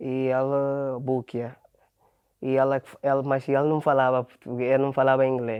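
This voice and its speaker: Moderately paced, a man of medium pitch talks in monotone, flat intonation. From Ghana. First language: Ghanaian language (Portuguese learned as adult) (speaking Portuguese). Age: 20s. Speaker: factory worker and footballer. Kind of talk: interview. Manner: halting.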